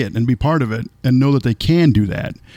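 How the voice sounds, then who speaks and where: A man's medium-pitched voice with an American accent, a normal speaking voice, and ordinary pitch variation. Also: dry, close sound with no echo. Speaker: podcast host. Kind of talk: casual interview.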